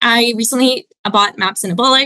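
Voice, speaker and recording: A bright, sharp voice with a Canadian accent and ordinary pitch variation, dry with no echo against a quiet background. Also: woman. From Canada. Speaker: caller. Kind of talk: casual chat. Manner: animated. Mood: friendly, enthusiastic. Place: home room. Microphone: video call.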